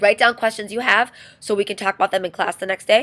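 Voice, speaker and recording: In a very clean recording with a silent background, a woman talks very fast at a medium pitch, with a dry, close sound and no echo. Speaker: high school teacher. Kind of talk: recorded class lecture.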